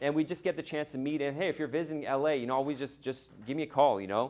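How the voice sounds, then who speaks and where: A man with fairly high pitch talks at a very fast pace. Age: 30s. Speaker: immigration attorney and conference organizer. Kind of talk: conference keynote speech. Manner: casual, halting with false starts.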